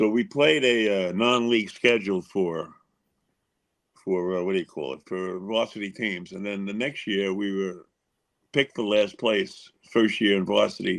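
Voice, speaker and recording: At a moderate pace, a man with a New York accent speaks in a fairly low voice with ordinary pitch variation. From Long Island, New York. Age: 70s. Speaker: former baseball pitcher. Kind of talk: podcast interview.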